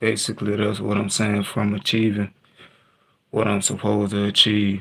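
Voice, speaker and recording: A man speaks at a moderate pace with vocal fry. His intonation stays monotone and flat. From Texas. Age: 20s. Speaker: livestreamer. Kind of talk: personal storytelling on livestream. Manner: halting.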